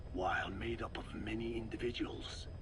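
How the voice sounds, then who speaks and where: A man's cartoonish character voice, whispered at a fairly slow pace over loud background noise. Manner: formal, measured, no contractions.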